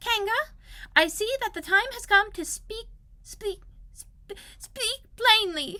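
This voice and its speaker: A woman's squeaky, put-on character voice at an extremely high pitch, fairly slow with long, frequent pauses and big swings in loudness. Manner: forced bravery, stammering.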